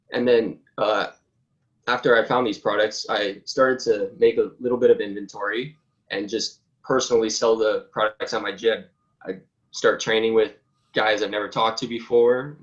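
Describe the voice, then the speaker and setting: The man has a normal speaking voice at a medium pitch. His pace is moderate and his intonation fairly even. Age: 20s. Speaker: college student and apparel business founder. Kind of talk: interview.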